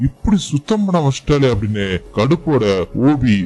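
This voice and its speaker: Music plays behind a man speaking at medium pitch. His pitch swings very widely. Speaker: movie explainer. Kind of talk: movie recap narration. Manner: casual, conversational.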